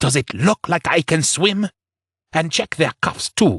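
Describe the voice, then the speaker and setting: Fairly slow, fairly high-pitched character voice put on by a man. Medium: read story. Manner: cold, controlled, menacing.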